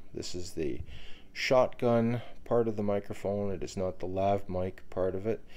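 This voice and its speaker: With lively intonation, a man speaks at a fairly slow pace. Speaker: gear reviewer. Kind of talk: tutorial. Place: home room. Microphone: handheld.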